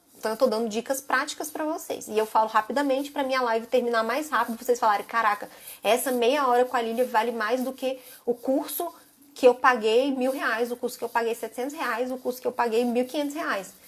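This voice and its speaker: A woman's high voice at a fairly quick pace, with fairly even intonation. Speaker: social media marketing instructor. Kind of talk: live stream class. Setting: live stream. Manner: fast; casual.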